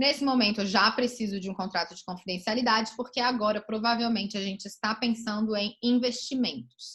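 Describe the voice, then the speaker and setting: A woman talks at a fairly quick pace in a fairly high voice, with hardly any pauses. Her loudness swings widely. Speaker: lawyer giving a talk. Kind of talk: online lecture. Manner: fast.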